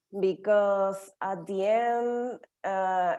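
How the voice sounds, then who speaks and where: In a Spanish accent, a woman speaks very slowly with a dark, mellow tone and monotone, flat intonation. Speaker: English learner participant. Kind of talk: casual group discussion. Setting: video call. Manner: halting.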